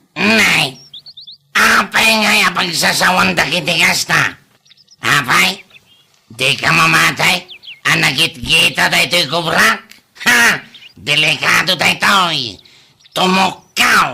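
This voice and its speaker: A man's put-on character voice, high-pitched and very slow, with long, frequent pauses. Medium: audio drama. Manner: teasing, laughing.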